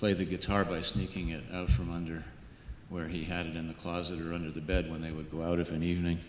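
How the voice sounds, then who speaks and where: A man with an American accent and a very deep, low pitch, very fast pace and monotone, flat intonation, with audible room echo. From New York (upstate, then Manhattan). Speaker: folklorist. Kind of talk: panel talk. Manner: partly read from notes. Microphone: too quiet, far from mic.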